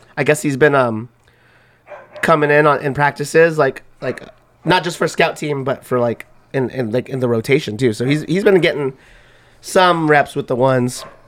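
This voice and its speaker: A loud, strained male voice at a fairly high pitch, moderate in pace with ordinary pitch variation and long, frequent pauses. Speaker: sports podcast host. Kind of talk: casual sports chat.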